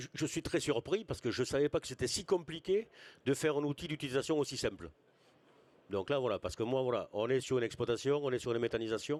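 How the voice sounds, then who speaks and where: A man at medium pitch talks very fast with lively intonation, and the sound is dry and close with no echo. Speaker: farm manager at agricultural school. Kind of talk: conference talk.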